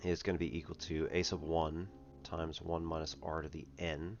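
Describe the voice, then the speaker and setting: Over music in the background, a man talks at a moderate pace in a very deep, low voice with monotone, flat intonation. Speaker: math stream host. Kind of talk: casual live-stream math explanation.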